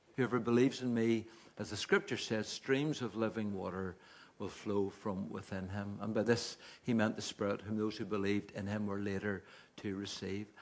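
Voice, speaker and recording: The speaker has a Northern Irish accent and fairly even intonation. The pace is moderate. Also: man, fairly low pitch for a man. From Northern Ireland, Carryduff. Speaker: preacher. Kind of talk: sermon.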